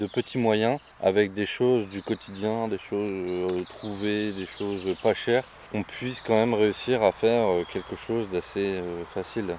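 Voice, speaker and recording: A man's fairly low voice at a very slow pace, with fairly even intonation and noticeable background noise. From northern France, Béthune area. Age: 20s. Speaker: eco-project co-founder. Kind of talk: interview.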